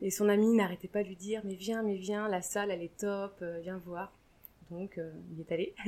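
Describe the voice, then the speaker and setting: Medium-pitched woman, a normal speaking voice, fairly even intonation. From France, Deux-Sèvres. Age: young. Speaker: rugby player's wife, former gymnastics coach. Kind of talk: interview. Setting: at her home.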